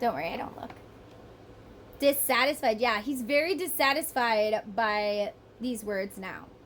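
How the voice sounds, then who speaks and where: The speaker uses a Southern US accent and an animated tone, talking at a fairly slow pace with very wide pitch swings. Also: woman. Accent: US Southern, picked up. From northern US. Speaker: tarot reader. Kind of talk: tarot reading monologue.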